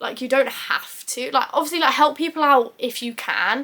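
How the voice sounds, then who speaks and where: With ordinary pitch variation, the woman's voice has a bright, sharp tone. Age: 20s. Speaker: YouTuber. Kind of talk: casual talk to camera. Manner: chatty, informal.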